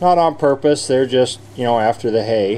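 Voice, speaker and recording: Light background noise beneath a moderate pace. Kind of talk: casual vlog chat. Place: farm machine. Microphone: phone near.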